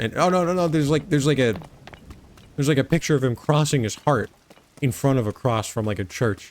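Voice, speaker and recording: A man speaks with lively intonation. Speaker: gaming video creator. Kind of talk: gameplay commentary. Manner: casual rambling.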